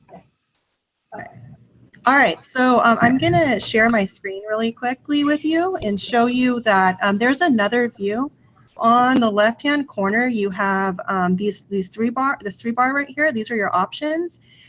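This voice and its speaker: A woman with a plain, everyday voice and fairly high pitch speaks with big swings in loudness. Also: lively intonation, fairly slow pace. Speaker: ed tech trainer for teachers. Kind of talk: tutorial. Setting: online video session with screen share.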